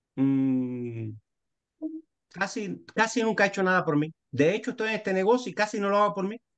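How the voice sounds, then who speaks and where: Against a quiet background, a man's pitch swings very widely as he talks. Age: 60s. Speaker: architect turned business participant. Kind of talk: casual group discussion. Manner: halting.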